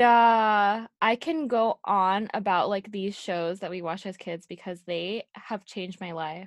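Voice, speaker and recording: In an unremarkable speaking voice, a woman at a medium pitch talks at a fairly slow pace with hardly any pauses. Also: ordinary pitch variation. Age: 20s. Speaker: podcast co-host. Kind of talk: casual chat.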